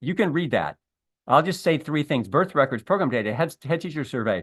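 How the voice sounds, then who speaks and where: Against a quiet background, a man talks fairly quickly at a fairly high pitch, his intonation lively. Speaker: early childhood education researcher. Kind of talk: webinar presentation. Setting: online webinar. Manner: fast; halting, with fillers and self-corrections.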